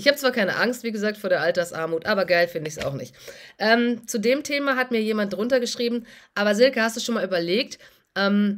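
A woman talks in a normal speaking voice, her pitch fairly high and her intonation lively. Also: quiet background. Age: 40s. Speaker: doctor and finance YouTuber; finance YouTuber. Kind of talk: casual vlog monologue. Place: home room. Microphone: phone near.

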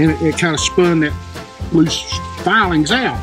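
A man talks at a moderate pace while clear music plays in the background. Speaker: local history guide. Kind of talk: explaining history to visitors. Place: open country. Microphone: phone near.

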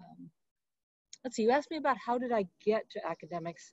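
A woman talks at a very fast pace with very wide pitch swings. The background is quiet and the sound dry with no echo. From US Midwest. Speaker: professor. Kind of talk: interview. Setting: video call. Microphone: webcam.

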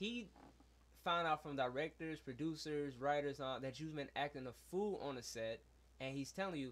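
This man has an unremarkable speaking voice with a fairly high pitch. He keeps a moderate pace. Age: 20s. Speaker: podcast co-host. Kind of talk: casual chat. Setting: studio.

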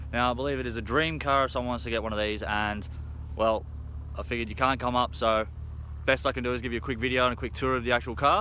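Talking at a very fast pace, a man with a bright, sharp tone and vocal fry makes very wide pitch swings, heard dry with no echo over light background noise. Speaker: car salesman. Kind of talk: casual sales walkthrough. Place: open country. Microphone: phone near.

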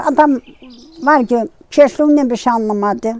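The woman's voice comes through with a dry sound and no echo. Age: 80s+. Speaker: village grandmother telling her life story. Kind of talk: interview answer, life story chat. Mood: sorrowful, telling of losses. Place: open country.

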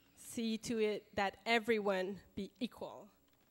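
A woman speaks with faint music in the background. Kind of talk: stage announcement. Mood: light, apologetic, laughing. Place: hall. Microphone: handheld.

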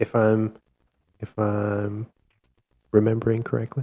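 A man talks at a fairly slow pace. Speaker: podcast host and film reviewer. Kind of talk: casual film review chat.

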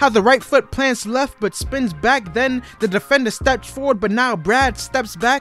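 Over music in the background, the speaker talks at a moderate pace. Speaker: spoken word poet. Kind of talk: spoken word poetry over sports highlights.

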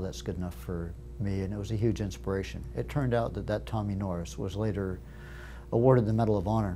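Music plays in the background as a man talks at a very fast pace with very wide pitch swings. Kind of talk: interview answer. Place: studio. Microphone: lapel.

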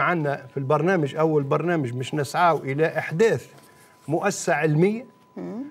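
This man has a fairly high pitch. He speaks at a fairly slow pace. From Tunisia. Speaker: farmer; guest. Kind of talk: studio interview. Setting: studio. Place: studio. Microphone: lapel.

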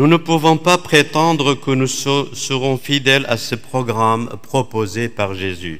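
The man's delivery is very slow. Little else can be heard behind him. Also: medium pitch for a man, lively intonation. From Iraq. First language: Aramaic (speaking French). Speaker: Dominican priest, preacher. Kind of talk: sermon. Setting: church. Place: church. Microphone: podium.

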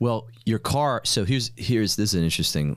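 A man with an American accent and vocal fry, over a quiet background. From New York. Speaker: podcast host and entrepreneur; podcast host. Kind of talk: casual chat. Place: studio. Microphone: studio mic.

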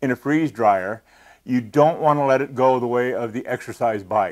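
A quiet background behind a moderate pace and ordinary pitch variation. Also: man. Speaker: presenter. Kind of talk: tutorial. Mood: earnest, cautionary. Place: studio. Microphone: lapel.

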